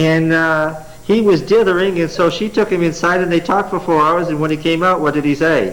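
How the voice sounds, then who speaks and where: A man talks at a fairly quick pace with hardly any pauses, his pitch high and his intonation fairly even. Noticeable background noise and audible room echo are present. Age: 40s. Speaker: Bible teacher. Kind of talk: Bible study lecture with class interaction. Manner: conversational, asks the class questions.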